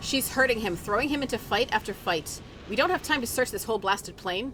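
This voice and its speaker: Lively intonation marks this woman's unremarkable speaking voice. She talks at a fairly quick pace. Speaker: game streamer. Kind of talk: reading quest text aloud while gaming.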